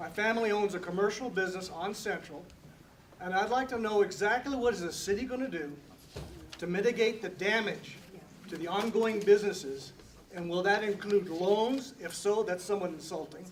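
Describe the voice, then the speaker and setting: A man with a high pitch speaks at a fairly quick pace with ordinary pitch variation. Audible room echo and noticeable background noise surround him. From New Mexico, Albuquerque. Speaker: business owner, resident. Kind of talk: public comment. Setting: church hall public meeting.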